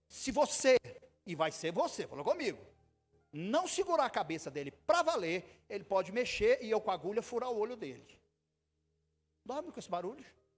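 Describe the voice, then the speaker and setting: The voice is animated, with very wide pitch swings and long, frequent pauses. Music plays in the background. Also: man, high pitch for a man, moderate pace. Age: 60s. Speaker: pastor. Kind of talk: sermon. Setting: church.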